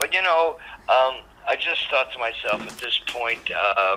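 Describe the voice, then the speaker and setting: In a Canadian accent, a man speaks at a fairly slow pace over noticeable background noise. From Canada, Montreal. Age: 70s. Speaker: rock drummer and author. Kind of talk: interview. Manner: halting, many restarts.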